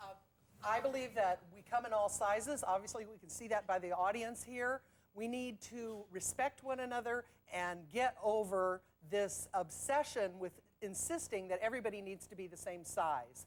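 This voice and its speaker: A woman's medium-pitched voice, a normal speaking voice, at a moderate pace with ordinary pitch variation and big swings in loudness. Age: 60s. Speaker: fat acceptance advocate. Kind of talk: heated debate. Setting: stage with audience.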